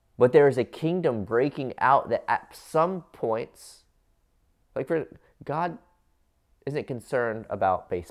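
Fairly slow pace with long, frequent pauses and lively intonation in a Midwestern American accent, in a very clean recording with a silent background. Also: man. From US Midwest (Cincinnati, Ohio). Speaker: pastor. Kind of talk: sermon. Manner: halting, many fillers.

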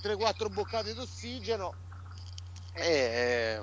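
Somewhat breathy, a man's voice moves along at a very slow pace. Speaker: restaurant owner and football fan. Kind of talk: casual chat. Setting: remote call. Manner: animated.

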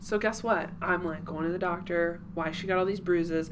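A woman's fairly low voice with an American accent at a moderate pace. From Cincinnati area, Ohio. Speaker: real estate agent. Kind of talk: casual chat.

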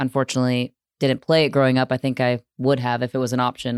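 Very deep and low in pitch, a woman talks at a very fast pace on a very clean recording with a silent background and a dry, close sound with no echo. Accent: American. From US Midwest. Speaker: sports broadcaster.

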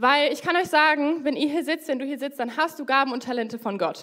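High-pitched and with lively intonation, a woman is speaking. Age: 20s. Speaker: young lay preacher. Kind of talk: sermon.

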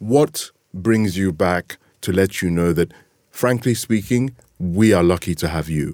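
A man with a very deep, low pitch, a dark, mellow tone and lively intonation. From Nigeria. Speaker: podcast host. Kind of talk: interview. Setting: studio.

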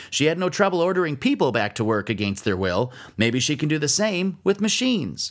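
A man with a fairly high pitch, vocal fry and very wide pitch swings talks at a fairly quick pace in a very clean recording with a silent background. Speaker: comedian and radio commentator. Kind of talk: stand-up comedy; satirical news commentary. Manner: sarcastic.

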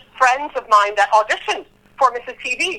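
A woman's raised, projected voice at a high pitch, with lively intonation and a moderate pace. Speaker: Broadway ensemble performer. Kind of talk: casual interview chat.

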